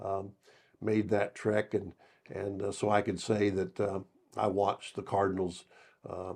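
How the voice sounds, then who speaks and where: A man with an American accent talks at a fairly slow pace and a fairly low pitch. His intonation is monotone and flat, broken by long, frequent pauses. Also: quiet background. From Southern Illinois. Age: 70s. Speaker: retired basketball coach. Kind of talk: interview. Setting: studio. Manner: halting, many fillers.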